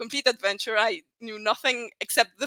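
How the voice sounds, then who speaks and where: Speaking at a fairly quick pace, a woman with a fairly high pitch has a bright, sharp tone, recorded with a dry, close sound and no echo. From Spain, Navarra. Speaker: Spanish teacher. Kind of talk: interview. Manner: loud.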